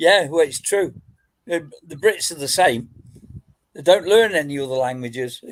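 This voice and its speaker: Speaking with an English accent, a man uses a fairly high pitch and lively intonation at a moderate pace. His loudness swings widely, and he leaves long, frequent pauses. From England, Nottingham. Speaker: metal detectorist. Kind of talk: casual chat.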